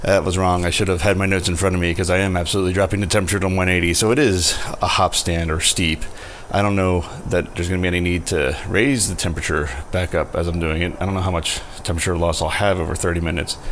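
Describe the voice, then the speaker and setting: A man with a very deep, low pitch talks at a very fast pace with fairly even intonation. Noticeable background noise and audible room echo come through. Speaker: home brewer, video host. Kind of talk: tutorial. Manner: quiet, low volume.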